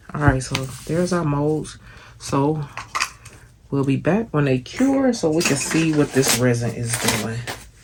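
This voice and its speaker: Fairly slow speech with long, frequent pauses and noticeable background noise. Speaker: crafting YouTuber. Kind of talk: tutorial. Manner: soft-spoken; casual, chatty.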